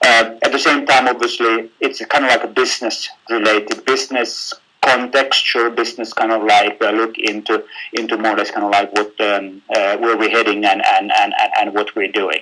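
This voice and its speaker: Speaking at a moderate pace, a man keeps a medium pitch and monotone, flat intonation. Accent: Finnish. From Finland. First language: Finnish. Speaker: business executive. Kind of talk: webinar presentation. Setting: online webinar. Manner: halting, many fillers and repetitions.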